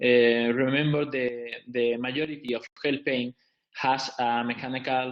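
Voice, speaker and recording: A man with a non-native accent, fairly slow pace and fairly even intonation. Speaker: visiting professor, physiotherapy presenter. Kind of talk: webinar lecture. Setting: online webinar. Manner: halting.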